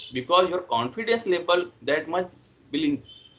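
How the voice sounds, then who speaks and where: A man speaks at a high pitch with lively intonation and a fairly quick pace. Noticeable background noise runs behind him. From India, Uttar Pradesh. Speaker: English learner. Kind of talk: casual chat.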